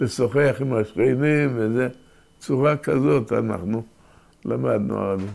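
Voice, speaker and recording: This man speaks at a very slow pace with a medium pitch. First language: Yiddish (speaking Hebrew). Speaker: oral history interviewee. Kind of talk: oral history interview. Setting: at home, filmed interview. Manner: halting, with repetitions.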